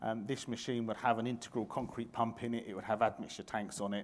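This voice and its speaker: A man talking at a very fast pace over light background noise. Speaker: conference presenter. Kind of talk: lecture. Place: hall.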